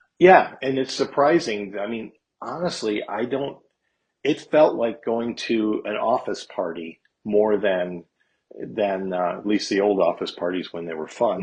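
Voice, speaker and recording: An unremarkable speaking voice from a man at a fairly low pitch, lively in intonation, at a fairly slow pace. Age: 60s. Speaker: guest musician, gigging guitarist. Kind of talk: casual interview chat.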